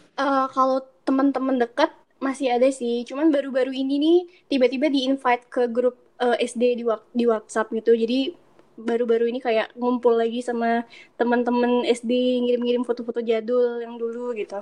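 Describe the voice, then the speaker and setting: In a quiet background, a woman speaks at a fairly quick pace with a high pitch and monotone, flat intonation. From Indonesia, moved around (Bali, Pekanbaru, Malang, Solo). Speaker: podcast guest, language education graduate. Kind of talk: casual chat. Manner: calm, polite.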